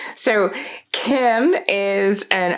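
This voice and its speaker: Noticeable background noise sits behind a woman with an American accent whose intonation is lively. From South Florida. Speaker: podcast host. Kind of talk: podcast interview; reading guest intro.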